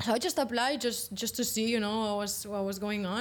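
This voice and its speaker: A woman with a Spanish accent at a fairly quick pace, fairly even intonation, on a very clean recording with a silent background. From Spain, Valencia. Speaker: professional padel player. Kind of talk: interview.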